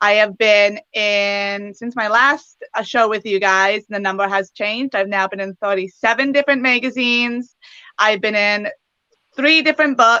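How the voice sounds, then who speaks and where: Her voice, a woman's with fairly high pitch, has a bright, sharp tone and ordinary pitch variation in a dry, close sound with no echo. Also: moderate pace. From western Canada, British Columbia. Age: 20s. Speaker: pageant titleholder and preschool teacher. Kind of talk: interview.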